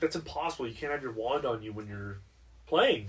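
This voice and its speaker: A man puts on a character voice at a medium pitch, talking at a fairly quick pace. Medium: actual play. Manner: blunt, confident.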